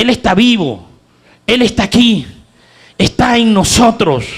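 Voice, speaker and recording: With lively intonation, a high-pitched man speaks at a very slow pace. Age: 60s. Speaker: preacher. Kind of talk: sermon.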